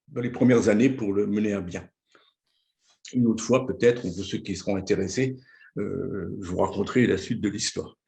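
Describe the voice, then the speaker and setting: Fairly even intonation sits under a dark, mellow tone in this voice. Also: man. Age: 70s. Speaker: former local councillor and nonprofit leader. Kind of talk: presentation. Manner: talkative; hesitant, frequent filler words.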